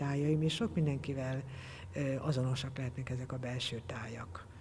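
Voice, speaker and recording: The voice is somewhat breathy with a dark, mellow tone, moving at a fairly slow pace with ordinary pitch variation over light background noise. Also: woman. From Hungary, Balmazújváros (Great Plain); Hungary. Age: 60s. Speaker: textile artist. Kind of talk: interview. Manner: halting. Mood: reflective, warm. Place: hall.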